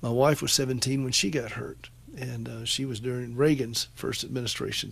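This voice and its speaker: With a Southern accent, a man talks at a moderate pace in a monotone, flat intonation. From US South, upstate South Carolina (Anderson). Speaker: radio host. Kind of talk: call-in radio show.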